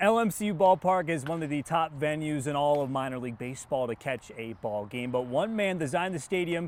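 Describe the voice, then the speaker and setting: In a normal speaking voice, a man talks at a fairly quick pace with lively intonation. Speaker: TV sports anchor and reporter. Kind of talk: TV sports news reporting.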